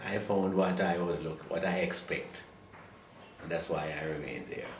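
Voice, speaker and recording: In a room with audible echo and noticeable background noise, a man talks at a moderate pace with a very deep, low pitch and fairly even intonation. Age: 80s+. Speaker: retired pastor. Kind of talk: interview.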